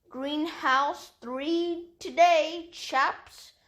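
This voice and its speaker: Using a put-on character voice, the woman pushes her pitch extremely high. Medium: read story.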